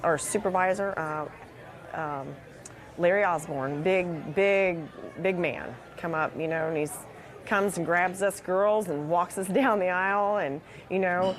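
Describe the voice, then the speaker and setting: With an unremarkable speaking voice, a woman talks at a fairly low pitch with ordinary pitch variation. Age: 40s. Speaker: factory worker. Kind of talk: interview testimony.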